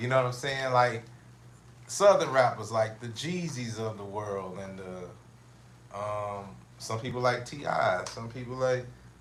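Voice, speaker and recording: A man speaks at a medium pitch and a fairly slow pace, with ordinary pitch variation. His loudness swings widely, and room echo is audible. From Chicago, US Midwest. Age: 40s. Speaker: podcast host. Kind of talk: casual monologue. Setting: at home, livestream. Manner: casual, halting with repetitions.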